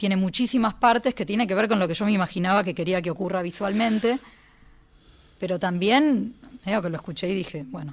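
A woman talks very fast at a medium pitch. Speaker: composer and pianist. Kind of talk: casual radio interview. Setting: radio studio.

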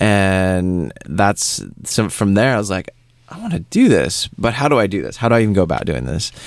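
A man's unremarkable speaking voice with a fairly low pitch, lively intonation and a moderate pace. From US West Coast, Seattle. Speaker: photographer and podcast host. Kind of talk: casual interview.

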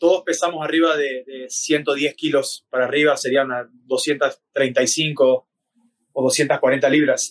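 A man with an Argentine accent speaks at a very slow pace in a fairly high pitch. His intonation is monotone and flat, and the sound is dry and close with no echo. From Argentina. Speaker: MMA fighter. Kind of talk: interview.

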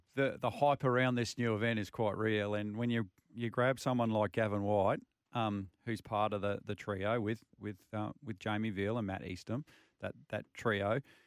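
Speaking with an Australian accent, a man with a fairly low pitch keeps fairly even intonation at a moderate pace. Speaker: motorsport radio co-host. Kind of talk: radio show chat. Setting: radio studio.

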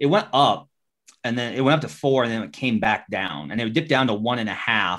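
Lively intonation and vocal fry mark this voice, delivered at a fairly quick pace. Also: man, medium pitch for a man. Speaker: NBA journalist. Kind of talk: casual sports betting chat.

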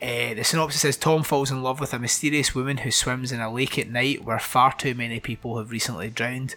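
Noticeable background noise sits behind a man speaking at medium pitch with fairly even intonation. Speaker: podcast host, horror film reviewer. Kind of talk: casual chat, film review. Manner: casual, swears.

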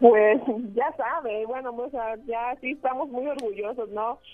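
Music plays in the background as a woman speaks. Her voice is fairly high in pitch, and her pace is fairly slow. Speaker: mother of boy who rescued animals. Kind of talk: interview. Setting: phone call. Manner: halting.

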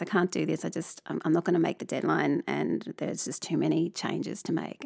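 A woman talks at a moderate pace with an Australian accent. The recording is very clean, with a silent background. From Tasmania, Australia. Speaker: artist and lecturer. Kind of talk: interview. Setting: studio.

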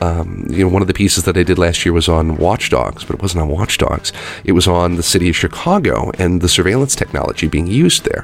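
A man with a Midwestern accent talks very fast in a very deep, low voice, keeping his loudness very even and his pitch variation ordinary. Noticeable background noise runs behind him. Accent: American (Midwest). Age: 30s. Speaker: games journalist. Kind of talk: interview.

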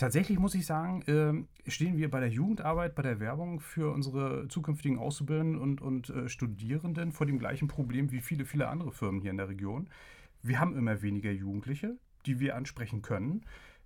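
On a very clean recording with a silent background, a man talks at a fairly quick pace with lively intonation, his voice fairly high and somewhat breathy. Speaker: agency press spokesman. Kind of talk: interview.

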